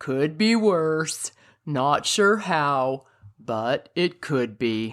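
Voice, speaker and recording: A put-on character voice at a low-to-middle pitch and a very slow pace, in a very clean recording with a silent background. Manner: gloomy, slow.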